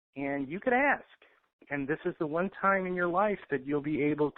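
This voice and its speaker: A man's voice with ordinary pitch variation. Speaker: financial intel commentator. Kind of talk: casual talk.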